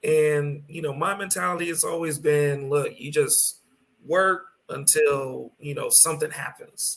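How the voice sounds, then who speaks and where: Talking fairly slowly, a man lets his loudness rise and fall in big swings. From San Antonio, Texas (born in Brooklyn). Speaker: DJ. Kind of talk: interview. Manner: halting, many fillers.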